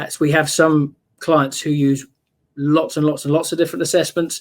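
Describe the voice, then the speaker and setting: With a British accent, the speaker moves at a fairly quick pace. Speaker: software vendor presenter. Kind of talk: product demo. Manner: halting, many fillers.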